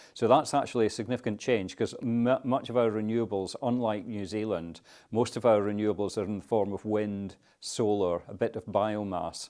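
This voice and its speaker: A man with a Scottish accent, fairly low pitch and a dark, mellow tone, fairly even intonation at a fairly quick pace, quiet background. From Scotland. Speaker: climate policy adviser. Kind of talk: interview. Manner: conversational, with fillers.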